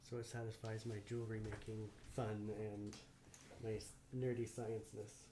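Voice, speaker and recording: A man's medium-pitched, monotone, flat voice at a moderate pace with long, frequent pauses, audible room echo and noticeable background noise. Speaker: resin artist and co-host of a home livestream. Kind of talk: casual livestream chat while demonstrating a craft. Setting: at home, livestream. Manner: mumbling.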